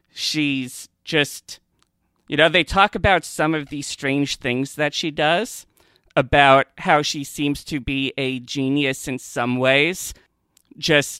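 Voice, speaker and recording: On a very clean recording with a silent background and a dry, close sound with no echo, a man speaks very slowly at a fairly high pitch, his tone bright and sharp and his intonation fairly even. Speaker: podcast host and Doctor Who expert. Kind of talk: casual podcast discussion.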